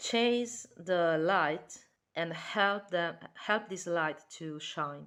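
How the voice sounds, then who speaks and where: A woman talks at a very slow pace. Her pitch is fairly low, with ordinary variation. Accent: Italian. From Italy. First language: Italian. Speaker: tarot reader. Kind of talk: tarot reading. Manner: halting.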